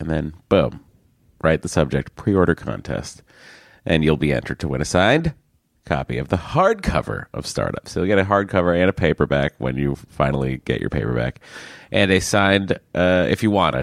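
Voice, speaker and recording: In a dry, close sound with no echo, a man with a very deep, low pitch and vocal fry talks at a fairly quick pace with lively intonation. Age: 40s. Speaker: podcast co-host. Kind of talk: casual chat.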